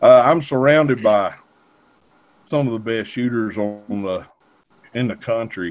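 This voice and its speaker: Speaking with a Southern US accent, a man shows ordinary pitch variation. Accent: Southern US accent, noticeable. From North Carolina. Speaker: gun store owner. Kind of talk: casual chat. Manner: halting.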